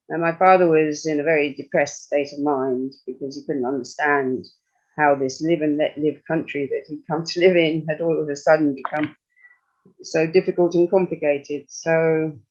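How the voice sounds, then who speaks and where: A man talks in a normal speaking voice. His pace is moderate and his intonation fairly even. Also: fairly high pitch for a man. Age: 60s. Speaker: retired university worker, EU citizen speaker. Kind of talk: personal testimony at an online meeting.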